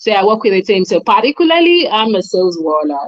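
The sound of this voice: Fast, medium-pitched female voice with big pitch swings, dry and close with no echo.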